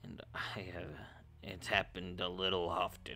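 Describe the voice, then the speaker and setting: A man puts on a character voice that is raspy, very deep and low, and monotone and flat, with clear background noise. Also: moderate pace. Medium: actual play. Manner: timid, hesitant.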